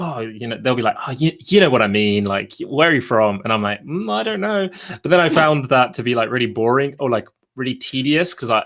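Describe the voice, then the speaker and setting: A man with a British accent talks at medium pitch with lively intonation. He goes at a fairly quick pace with hardly any pauses. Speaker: video creator. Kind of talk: casual chat.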